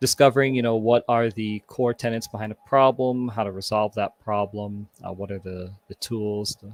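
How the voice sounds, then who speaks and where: A man with a Canadian accent has a plain, everyday voice, speaking at a moderate pace with fairly even intonation and hardly any pauses. His loudness swings widely, and the sound is dry and close with no echo. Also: fairly low pitch for a man. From Toronto, Canada. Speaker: community repair volunteer. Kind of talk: panel interview.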